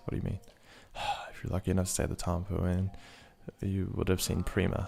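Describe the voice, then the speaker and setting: At a very fast pace, a man speaks with a very deep, low pitch. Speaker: gaming video creator. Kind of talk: casual gameplay commentary. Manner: stutter; animated.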